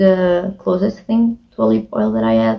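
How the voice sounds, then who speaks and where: A woman's somewhat breathy voice with a dark, mellow tone and lively intonation. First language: not English. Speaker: beauty vlogger. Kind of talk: casual monologue. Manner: halting.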